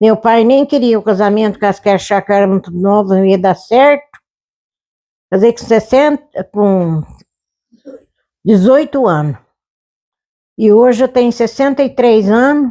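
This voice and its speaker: Speaking fairly slowly with long, frequent pauses, a woman has a dark, mellow tone, a fairly high pitch, ordinary pitch variation and very even loudness. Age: 80s+. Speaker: elderly farm wife. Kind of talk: interview.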